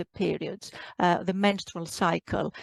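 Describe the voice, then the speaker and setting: Over a quiet background, a woman with a Greek accent speaks at a fairly slow pace, the sound dry and close with no echo. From Greece. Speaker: doctor, menopause specialist. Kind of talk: interview. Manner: hesitant, many fillers.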